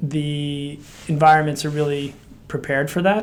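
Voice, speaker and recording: A man with a normal speaking voice and an American accent, at a fairly high pitch and moderate pace. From United States. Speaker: director of a women's political leaders network. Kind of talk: interview.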